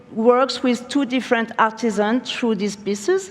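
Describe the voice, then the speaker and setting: A woman with a French accent talks in a fairly high voice with ordinary pitch variation. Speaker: furniture studio founder and creative director. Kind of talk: conference keynote talk. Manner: halting.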